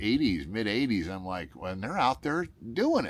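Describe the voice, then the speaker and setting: A man talks at a moderate pace and fairly low pitch. It is an unremarkable speaking voice. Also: very clean recording, silent background. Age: 60s. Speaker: solo gigging musician and vlogger. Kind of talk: casual vlog talk. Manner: rambling with many fillers and false starts.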